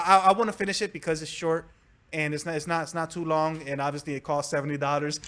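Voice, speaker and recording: A man with a high-pitched voice talks at a very fast pace. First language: Spanish. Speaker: gaming video creator. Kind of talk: casual chat. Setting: live stream podcast.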